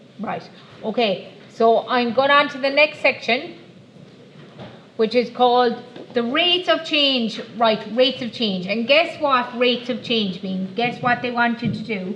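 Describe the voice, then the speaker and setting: Over noticeable background noise and audible room echo, a woman with an Irish accent talks at a moderate pace and fairly high pitch, with ordinary pitch variation. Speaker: maths teacher. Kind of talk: classroom lesson.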